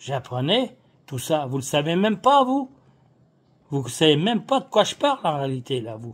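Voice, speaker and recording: On a very clean recording with a silent background, a man with a fairly high, somewhat breathy voice swings widely in pitch and loudness, leaving long, frequent pauses. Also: moderate pace. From France. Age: 70s. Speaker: political activist. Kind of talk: political monologue. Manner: casual; animated.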